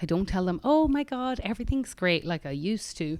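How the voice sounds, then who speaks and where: In an Irish accent, a woman speaks at a fairly quick pace with very wide pitch swings. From Ireland, tiny rural village. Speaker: singer-songwriter. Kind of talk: casual interview chat.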